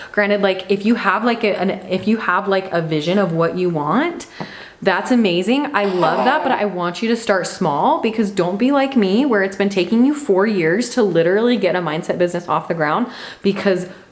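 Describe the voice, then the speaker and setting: An animated woman speaks at a fairly quick pace with lively intonation and medium pitch. Noticeable background noise runs under her voice. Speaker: podcast host and mindset coach. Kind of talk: motivational monologue.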